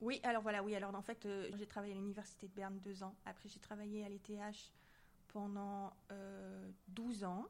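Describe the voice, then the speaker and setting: This woman's voice sits at a medium pitch and moves at a moderate pace. Her intonation is flat and monotone. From southern France, near Marseille. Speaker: scientist and association president. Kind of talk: interview.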